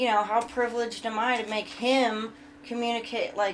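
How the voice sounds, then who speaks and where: A fairly high-pitched woman mumbling, with music in the background. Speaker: podcast co-host. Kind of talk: casual chat.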